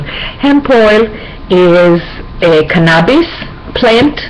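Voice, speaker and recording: Noticeable background noise accompanies the woman as she talks. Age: 60s. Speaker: video blogger. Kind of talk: personal health vlog. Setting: webcam recording at home. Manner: halting, with many fillers.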